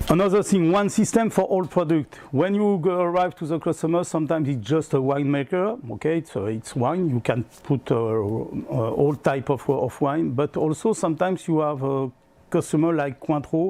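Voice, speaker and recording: With a French accent, a man talks at a moderate pace and a fairly high pitch, his dark, mellow tone carrying lively intonation and hardly any pauses. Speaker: product sales trainer. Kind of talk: product presentation. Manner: halting.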